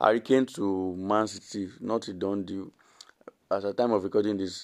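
A man talks with a fairly low pitch. His pace is moderate. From Nigeria. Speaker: football podcast host. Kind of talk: solo football commentary podcast.

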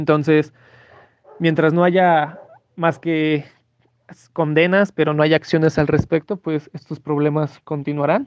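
A man with a fairly high pitch speaks in a monotone, flat intonation at a fairly slow pace. Long, frequent pauses break up his speech, and the sound is dry and close with no echo. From Mexico. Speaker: sports enthusiast and researcher of racism. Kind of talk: interview testimony. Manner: hesitant, many fillers.

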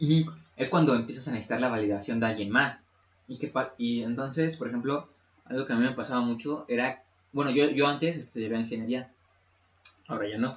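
Moving at a fairly quick pace but with long, frequent pauses, a man talks at medium pitch with ordinary pitch variation. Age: 20s. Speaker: podcast co-host. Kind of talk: casual chat.

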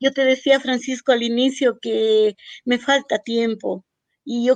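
A woman's high-pitched voice with fairly even intonation, dry and close with no echo, over a quiet background. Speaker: writer and storyteller. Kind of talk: radio interview.

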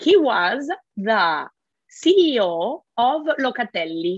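A woman with an Italian accent speaks at a high pitch with very wide pitch swings. The sound is dry and close with no echo. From Italy. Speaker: school founder and director. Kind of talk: interview.

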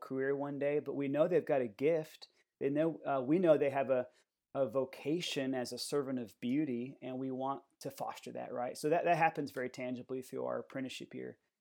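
A man's fairly high yet dark, mellow voice with an American accent, fairly quick and fairly even in intonation, on a very clean recording with a silent background. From US South, Atlanta, Georgia. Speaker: musician and podcast host. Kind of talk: casual interview.

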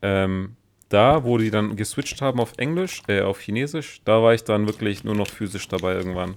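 Here is a man with an unremarkable speaking voice and a fairly low pitch that varies in an ordinary way. He talks at a moderate pace on a very clean recording with a silent background. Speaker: podcast co-host. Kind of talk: casual chat.

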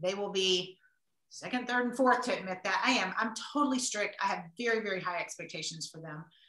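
A woman with a Southern US accent talks fairly quickly at a medium pitch, with ordinary pitch variation and big swings in loudness. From US South. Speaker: author and entrepreneur. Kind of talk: casual interview. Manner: animated.

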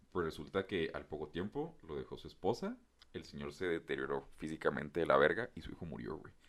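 A man speaks with a Mexican accent. His loudness swings widely. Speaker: podcast co-host. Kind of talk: casual chat.

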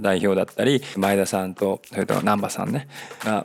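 A man speaks over noticeable background noise. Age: 40s. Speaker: podcast host, amateur runner. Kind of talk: solo monologue podcast, casual. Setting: cafe. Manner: chatty, filler-heavy.

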